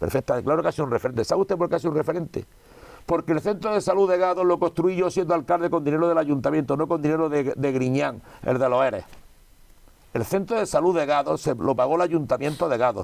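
Very even in loudness, a man with a fairly high pitch talks at a very fast pace with ordinary pitch variation. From Spain. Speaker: politician. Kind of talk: interview. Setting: cinema room. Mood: indignant political criticism. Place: studio. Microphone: lapel.

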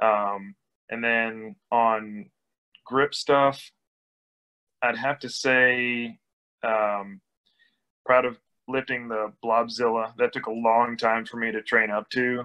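Over a quiet background, a man with a bright, sharp tone speaks very slowly in a monotone, flat delivery, leaving long, frequent pauses. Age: 30s. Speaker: grip strength athlete and mechanical engineer. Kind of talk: casual interview. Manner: hesitant, many fillers. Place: home room. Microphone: video call.

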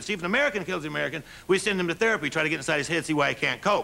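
Over light background noise, a man delivers his words at a very fast pace in a raised, projected voice. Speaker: stand-up comedian. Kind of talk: stand-up comedy routine. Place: stage.

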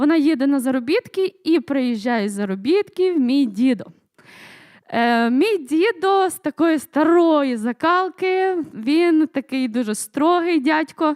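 Very slowly, a woman speaks with a high pitch and lively intonation. The sound is dry and close with no echo, on a very clean recording with a silent background. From western Ukraine, Lviv region (Sokal). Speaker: church member giving testimony. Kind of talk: testimony. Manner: halting, many fillers.

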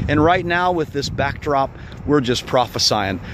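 Noticeable background noise over dry sound with no echo. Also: man. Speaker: preacher. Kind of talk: prayer and exhortation to viewers. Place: open country. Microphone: phone near.

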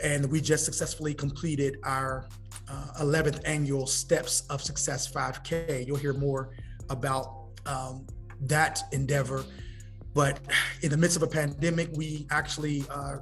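Man with monotone, flat intonation and faint music in the background. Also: fairly slow pace. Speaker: podcast guest. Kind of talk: interview answer. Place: hall. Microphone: video call.

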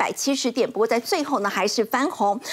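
A woman talks at a fairly quick pace. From Taiwan. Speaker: financial TV show host. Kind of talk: TV finance talk show moderation. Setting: TV studio. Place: studio. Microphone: lapel.

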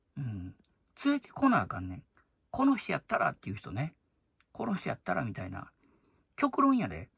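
A man with a Kansai accent, fairly quick in pace, big swings in loudness and long, frequent pauses, in a dry, close sound with no echo. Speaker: YouTuber commentator. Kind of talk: casual monologue.

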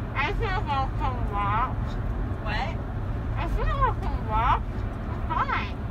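A woman speaks at a very slow pace, with crowd noise in the background. The sound is dry, with no echo. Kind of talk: casual groggy chat. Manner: slurred, drowsy post-anesthesia speech, gauze-muffled. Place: car.

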